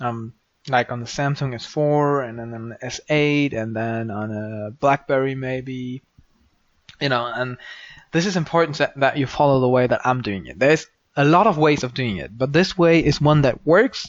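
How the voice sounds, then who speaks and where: A man speaks at a moderate pace with a strong German accent, his voice at a medium pitch. His loudness swings widely while his pitch varies in an ordinary way. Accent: German accent, says it is strong. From Germany. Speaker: programming tutorial maker. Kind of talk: screen-recorded coding tutorial. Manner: hesitant, many ums and false starts; casual, unscripted.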